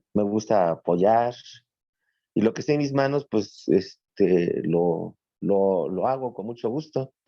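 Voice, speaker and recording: This man speaks with a central Mexican accent at a fairly low pitch. His tone is dark and mellow, and his pace is very slow. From Mexico City. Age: 50s. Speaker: adult student. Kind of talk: class introduction on video call. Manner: halting, many fillers.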